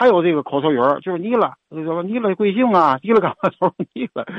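Very wide pitch swings mark this man's high voice as he speaks at a very fast pace. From Tianjin. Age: 60s. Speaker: caller. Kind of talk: call-in chat.

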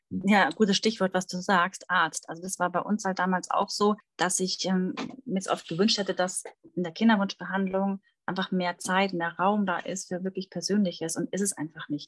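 A woman with an unremarkable speaking voice talks at a medium pitch with fairly even intonation. The sound is dry and close, with no echo. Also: moderate pace. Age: 30s. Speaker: fertility coach. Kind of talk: interview conversation.

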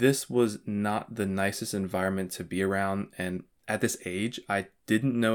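A man speaks in an ordinary speaking voice with an American accent, his pitch fairly low and his intonation fairly even. The recording is very clean, with a silent background. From Florida, Vero Beach. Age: 20s. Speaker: podcast host. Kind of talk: personal storytelling monologue.

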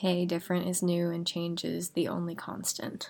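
Soft-spoken, a woman talks at a moderate pace in a dark, mellow tone and a fairly low pitch. The recording is very clean, with a silent background. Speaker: podcast host. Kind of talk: casual podcast monologue. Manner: soft-spoken, quiet.

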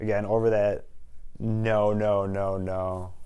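Audible room echo surrounds a man's fairly low voice in an American accent. His intonation stays fairly even. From Wisconsin, Waukesha. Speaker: real estate agent. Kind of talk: podcast interview.

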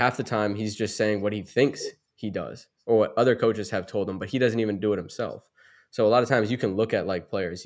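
On a very clean recording with a silent background, a man with an American accent talks very fast in a fairly low voice with fairly even intonation. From Massachusetts. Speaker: basketball trainer. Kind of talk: casual chat.

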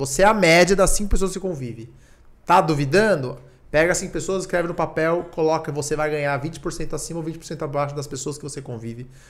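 Big swings in loudness mark this man's fairly high-pitched voice. He talks at a fairly quick pace amid audible room echo. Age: 30s. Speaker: tech entrepreneur. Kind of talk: casual chat.

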